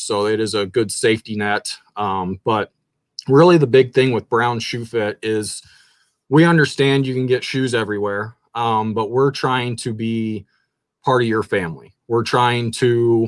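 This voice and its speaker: A man with a slight Kansas accent and fairly even intonation. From southern Kansas. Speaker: shoe store owner. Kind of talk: interview. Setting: live stream.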